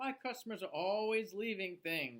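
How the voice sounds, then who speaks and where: This man does a put-on character voice. It is high-pitched at a moderate pace. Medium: read story.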